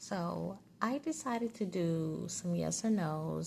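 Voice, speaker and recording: Somewhat breathy speech with a dark, mellow tone on a very clean recording with a silent background. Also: woman. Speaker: tarot reader and psychic. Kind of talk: casual talk to camera, tarot reading. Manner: soft-spoken, conversational.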